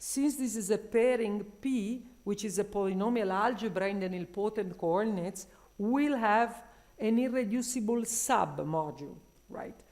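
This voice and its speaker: A woman talks at a moderate pace with a fairly high pitch and ordinary variation. Audible room echo surrounds her. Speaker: mathematician presenting research. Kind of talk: conference talk.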